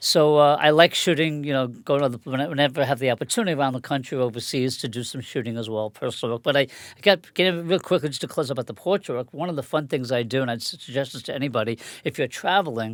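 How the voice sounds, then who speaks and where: Talking at a very fast pace with hardly any pauses, a man with a fairly high pitch uses ordinary pitch variation on a very clean recording with a silent background. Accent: New York. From Long Island, New York. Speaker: photographer. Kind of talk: casual interview. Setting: studio.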